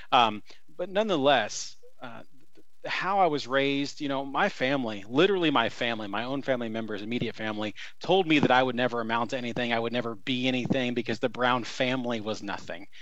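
Speaking at a very fast pace, a man with a medium pitch uses ordinary pitch variation, with audible room echo. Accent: American. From US Midwest (Columbus, southern Indiana). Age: 30s. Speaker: former political campaign manager. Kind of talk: casual interview.

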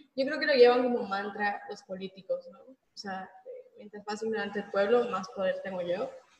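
A woman with an ordinary speaking voice talks at a moderate pace and fairly high pitch, with ordinary pitch variation and big swings in loudness. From Mexico, Mérida (Yucatán). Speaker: book discussion panelist. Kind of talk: casual book discussion.

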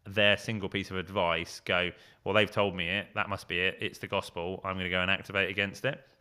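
Speaking at a fairly quick pace, a man delivers his words with a very deep, low pitch and monotone, flat intonation. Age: 40s. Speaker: branding agency founder and creative director. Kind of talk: interview conversation.

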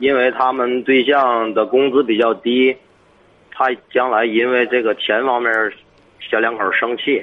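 With very even loudness and monotone, flat intonation, a man speaks at a medium pitch and a fairly slow pace, leaving long, frequent pauses. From Hebei, Tangshan. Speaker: caller asking about sister. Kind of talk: call-in advice conversation.

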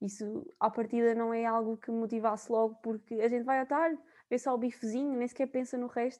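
Against a quiet background, a woman speaks at a fairly quick pace with a dark, mellow tone. Her fairly high pitch follows fairly even intonation. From Portugal, Viseu area. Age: 20s. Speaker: university student. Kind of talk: casual chat.

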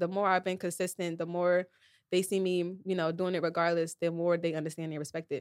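A woman talks fairly quickly at a fairly low pitch, her intonation monotone and flat. The recording is very clean with a silent background, and the sound is dry and close with no echo. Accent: American. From New Jersey. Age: 20s. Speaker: visual artist. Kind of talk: casual interview.

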